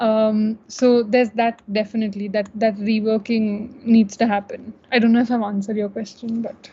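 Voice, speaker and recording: A woman with a fairly high pitch and a dark, mellow, somewhat breathy tone speaks in a monotone, flat intonation at a moderate pace with hardly any pauses. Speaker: student panelist. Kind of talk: panel discussion. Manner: halting.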